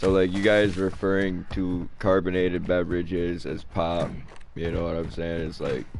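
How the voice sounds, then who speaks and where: Audible room echo surrounds a man's voice. He talks at a moderate pace with a very deep, low pitch. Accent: American. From Michigan. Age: 20s. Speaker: gaming streamer. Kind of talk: casual chat. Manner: animated.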